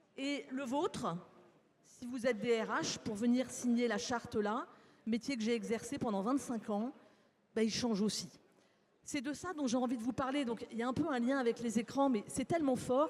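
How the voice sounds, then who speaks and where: Pitched high, a woman speaks at a moderate pace with ordinary pitch variation. She leaves long, frequent pauses. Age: 60s. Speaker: psychologist, conference speaker. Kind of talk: conference talk. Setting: stage with live audience.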